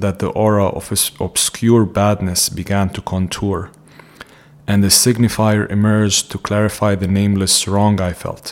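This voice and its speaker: Amid noticeable background noise, a man speaks at a moderate pace with a fairly low pitch and monotone, flat intonation. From Jordan (Palestinian, raised in Amman). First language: Arabic. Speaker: psychiatrist. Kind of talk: reading aloud of own essay.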